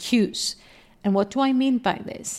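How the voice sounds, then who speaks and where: This is a woman speaking. She has a Greek accent. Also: very clean recording, silent background. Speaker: podcast host and life coach. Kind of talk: solo podcast monologue.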